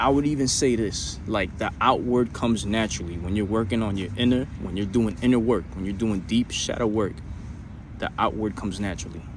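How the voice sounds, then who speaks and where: Fairly quick delivery with audible room echo and noticeable background noise. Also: man, fairly low pitch for a man, ordinary pitch variation. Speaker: self-improvement vlogger. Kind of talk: motivational monologue. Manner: halting; animated.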